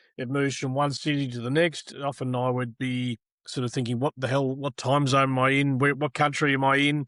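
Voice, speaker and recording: At a fairly quick pace, a man with an Australian accent speaks in a flat monotone, the sound dry and close with no echo. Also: medium pitch for a man, hardly any pauses. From Australia, Melbourne. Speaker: tennis broadcaster. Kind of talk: interview.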